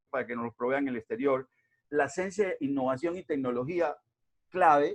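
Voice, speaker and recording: With a Colombian accent, a man speaks at a moderate pace and fairly high pitch in a dry, close sound with no echo. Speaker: invited lecturer on regional development. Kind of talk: lecture. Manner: hesitant, many fillers.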